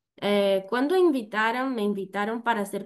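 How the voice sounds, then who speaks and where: In a Brazilian accent, a woman talks at a fairly slow pace with ordinary pitch variation. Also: quiet background. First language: Portuguese (speaking Spanish). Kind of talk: conference presentation. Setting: virtual event. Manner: halting, many fillers.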